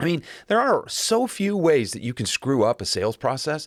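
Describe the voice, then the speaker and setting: At a moderate pace, a man talks with fairly high pitch and very wide pitch swings. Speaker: sales podcast host. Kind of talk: solo podcast monologue. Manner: conversational, some hesitations.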